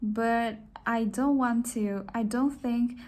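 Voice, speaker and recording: Speaking very slowly with a Chinese accent, a woman holds a fairly high pitch in a monotone, flat intonation. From China, Shanghai. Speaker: design student. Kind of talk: self-introduction. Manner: halting.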